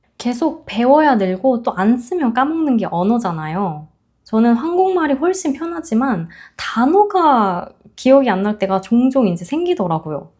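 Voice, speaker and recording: A woman's high, dark and mellow voice with very wide pitch swings at a fairly slow pace, in a very clean recording with a silent background. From South Korea. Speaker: YouTuber, corporate employee abroad. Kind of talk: advice talk to camera.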